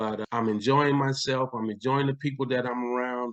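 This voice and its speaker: Recorded dry and close with no echo, a man at medium pitch talks at a moderate pace in a plain, everyday voice. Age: 60s. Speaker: retired sheriff's deputy and army veteran. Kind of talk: casual chat. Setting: at home.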